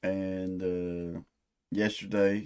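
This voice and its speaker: American accent, captured in a very clean recording against total background silence. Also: man. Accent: hick-sounding rural US accent, others say. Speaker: metalhead music reactor. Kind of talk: music reaction commentary. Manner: casual, profane.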